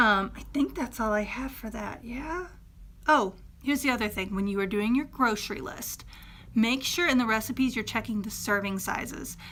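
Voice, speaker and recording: This woman has a fairly high pitch. Her pitch varies in an ordinary way. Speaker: fitness coach. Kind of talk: tutorial. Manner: fast.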